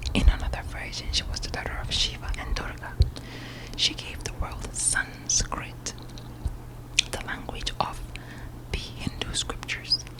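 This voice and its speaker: A woman whispering, breathy, at a fairly slow pace with long, frequent pauses, big swings in loudness and noticeable background noise. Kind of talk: ASMR whispered book reading. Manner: whispered, breathy.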